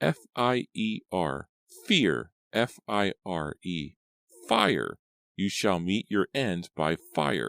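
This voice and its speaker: A man uses a put-on character voice that is croaky and very deep, with very wide pitch swings. He speaks very slowly on a very clean recording with a silent background. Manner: ominous.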